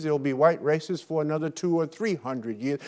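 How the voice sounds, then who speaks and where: The voice comes with an American accent in a very clean recording with a silent background. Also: man. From Brooklyn, New York, US. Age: 70s. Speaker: motivational speaker. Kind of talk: keynote speech. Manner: animated.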